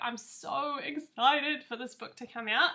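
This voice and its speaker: A woman with a New Zealand accent speaks at a fairly slow pace. Her voice is high, with ordinary pitch variation. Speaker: author. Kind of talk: reading aloud; casual chat.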